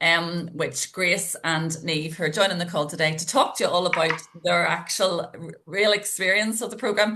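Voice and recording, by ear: With vocal fry and a bright, sharp tone, the voice moves at a moderate pace with fairly even intonation. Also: woman.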